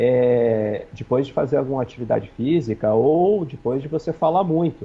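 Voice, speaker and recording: The intonation here is lively. It comes from a man with a fairly high pitch. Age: 40s. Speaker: infectious disease physician. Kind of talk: TV interview. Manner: fast.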